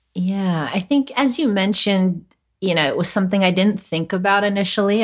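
With a Californian accent, a woman talks at a moderate pace and medium pitch in a very clean recording with a silent background. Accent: general American, Californian. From Los Angeles, California, US. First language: Cantonese. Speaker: chef, cooking competition winner. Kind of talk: casual interview conversation.

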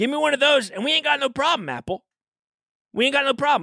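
An animated man speaks in a raised, projected voice with a bright, sharp tone. The sound is dry and close, with no echo. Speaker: podcast host. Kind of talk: comedic casual chat. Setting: studio.

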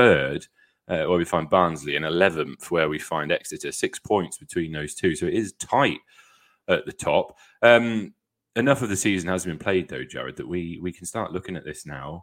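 A man with a British accent speaks at a very deep, low pitch and a fairly quick pace, his intonation lively. His loudness swings widely, on a very clean recording with a silent background. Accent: British accent, ordinary. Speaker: football podcast host. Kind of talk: casual chat.

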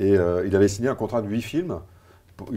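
A man speaks at a fairly quick pace in a fairly low pitch with a dark, mellow tone, on a very clean recording with a silent background. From Belgium. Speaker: film critic. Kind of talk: casual chat.

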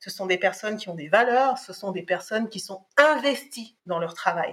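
Ordinary pitch variation in a medium-pitched female voice. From Cameroon, then France from age 10. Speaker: harassment survivor and association founder. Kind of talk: testimony. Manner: halting, with frequent hesitations.

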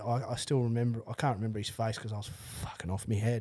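A man with an Australian accent on a very clean recording against a silent background. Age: 30s. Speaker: construction worker with spinal cord injury. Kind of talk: casual chat.

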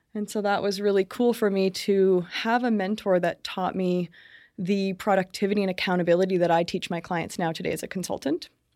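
On a very clean recording with a silent background, a woman with a normal speaking voice and a Canadian accent talks fairly quickly at a medium pitch with fairly even intonation. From Brantford, Ontario, Canada. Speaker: business consultant. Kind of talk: casual interview. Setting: studio.

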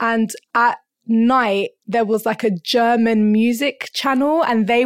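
A woman in a London accent speaks very slowly at a fairly high pitch, her intonation fairly even. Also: dry, close sound with no echo. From North London. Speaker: rapper and arts education coordinator. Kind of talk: casual interview.

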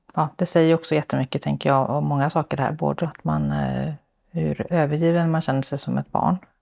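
Speaking fairly quickly, a woman comes across in a dry, close sound with no echo. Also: very clean recording, silent background. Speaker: podcast host, social entrepreneur. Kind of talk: interview. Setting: home visit, on location. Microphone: echo in the room.

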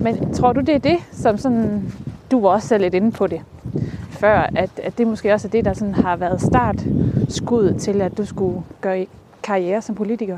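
A woman speaks at a medium pitch and a fairly slow pace. Her intonation is lively, with noticeable background noise behind her. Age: 30s. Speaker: podcast host. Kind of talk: casual interview. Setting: outdoors, walking.

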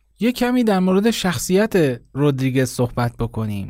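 Over a silent background in a very clean recording, a man speaks at a moderate pace. His fairly high pitch makes very wide swings. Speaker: podcast host. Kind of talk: scripted narration.

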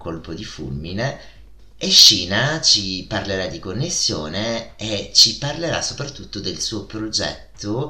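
With a strong Italian accent, a man talks very slowly in very wide pitch swings, with audible room echo. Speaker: podcast host. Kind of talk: casual podcast monologue. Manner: animated.

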